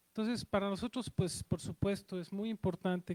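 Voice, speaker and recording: With a Mexico City accent, a man speaks with ordinary pitch variation. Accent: Mexico City (chilango). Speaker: cultural institution director welcoming audience. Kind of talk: welcome speech. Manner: halting, many fillers.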